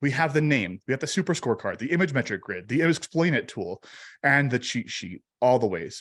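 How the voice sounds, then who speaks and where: Animated in tone, a man speaks at a fairly quick pace and medium pitch with lively intonation. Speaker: analytics trainer presenting a webinar. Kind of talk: live webinar tutorial. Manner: fast.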